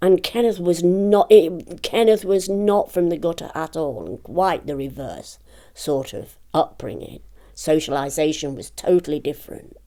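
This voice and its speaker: Dark and mellow, a woman's fairly low voice moves at a fairly slow pace. Her loudness swings widely, and her pitch varies in an ordinary way. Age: 70s. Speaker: author and memoirist. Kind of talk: interview. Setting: at her home. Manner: hesitant, many fillers and repetitions.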